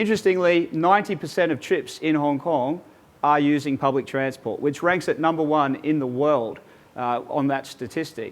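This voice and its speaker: A man with an Australian accent speaks at a moderate pace, his pitch fairly high and its variation ordinary. The background is quiet. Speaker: transport company executive. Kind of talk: webinar presentation. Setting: online webinar.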